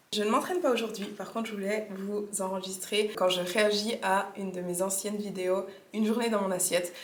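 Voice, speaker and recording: The voice moves at a fairly quick pace, with audible room echo. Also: woman, medium pitch for a woman. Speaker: fitness coach and vlogger. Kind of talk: casual vlog chat. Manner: animated, informal.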